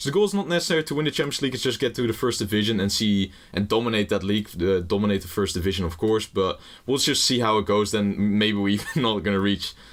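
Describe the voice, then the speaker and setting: With a Dutch accent, a man speaks at a very fast pace and a fairly low pitch. His pitch variation is ordinary and his loudness very even. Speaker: gaming YouTuber. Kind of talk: gameplay commentary. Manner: casual, rambling with fillers.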